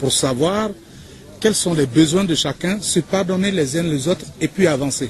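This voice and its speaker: Over noticeable background noise, a man with a high voice speaks fairly slowly with lively intonation. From Côte d'Ivoire. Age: 40s. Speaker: interviewee. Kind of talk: interview.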